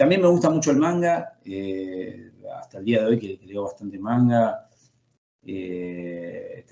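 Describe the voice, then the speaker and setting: A plain, everyday voice moves along at a fairly slow pace with lively intonation. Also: man. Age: 40s. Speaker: comic book author and illustrator. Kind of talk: interview.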